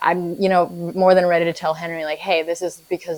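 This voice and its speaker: Noticeable background noise around a woman's fairly low-pitched voice. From Vietnam until age 7, then US. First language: Vietnamese. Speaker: stay-at-home mother. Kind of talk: documentary interview. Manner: halting, many repeated words.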